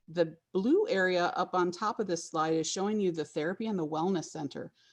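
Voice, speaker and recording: A plain, everyday voice at a moderate pace, ordinary pitch variation, quiet background. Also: woman. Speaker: interior designer presenting a project. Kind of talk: webinar presentation.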